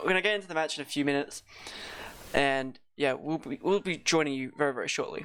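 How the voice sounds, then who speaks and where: Speaking very fast in a fairly high voice, a man comes through over noticeable background noise. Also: ordinary pitch variation. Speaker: esports caster. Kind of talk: casual chat. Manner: halting.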